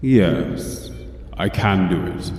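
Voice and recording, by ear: A man's low, put-on character voice at a very slow pace, with lively intonation and audible room echo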